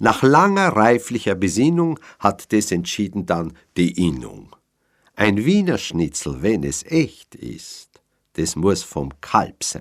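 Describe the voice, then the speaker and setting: Over a very clean recording with a silent background, a man with a Viennese accent speaks at a very slow pace in a fairly low pitch with very wide pitch swings. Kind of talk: poetry reading.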